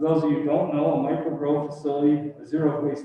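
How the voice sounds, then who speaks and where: A man talks very fast at a fairly high pitch, with noticeable background noise present. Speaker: business delegate presenting to council. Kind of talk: prepared presentation to town council. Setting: council chamber meeting. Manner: loud. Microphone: no microphone, speaking up to room.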